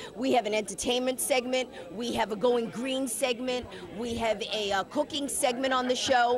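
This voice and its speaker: A woman with a high pitch talks in an animated tone. Background noise is noticeable. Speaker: TV talk show co-host. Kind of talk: casual interview. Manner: fast.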